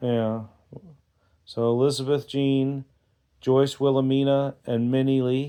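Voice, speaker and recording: A man speaks at a very slow pace in a dark, mellow tone, his pitch medium and his intonation monotone and flat. Long pauses come often. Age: 60s. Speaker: family interviewer. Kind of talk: casual family chat.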